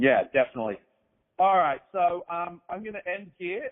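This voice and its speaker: With an Australian accent, a man speaks fairly quickly at a fairly high pitch. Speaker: podcast host. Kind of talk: casual interview chat. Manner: halting.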